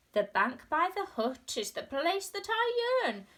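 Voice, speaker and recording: A woman's put-on character voice at an extremely high pitch, with very wide pitch swings and a fairly slow pace. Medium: read story. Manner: polite, formal.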